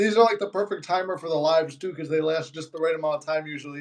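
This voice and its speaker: The man talks at a very fast pace with a Chicago accent. His voice is high-pitched. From Chicago, US. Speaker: manifestation YouTuber. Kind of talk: casual live-stream chat. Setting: live stream.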